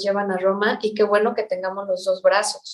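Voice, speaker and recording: This woman has an ordinary speaking voice at medium pitch. She talks at a moderate pace. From Mexico. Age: 40s. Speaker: spiritual teacher. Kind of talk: interview.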